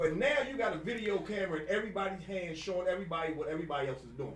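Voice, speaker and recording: Loud and very fast, a man speaks in a high voice amid noticeable background noise and audible room echo. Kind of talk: casual chat. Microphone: no microphone of own.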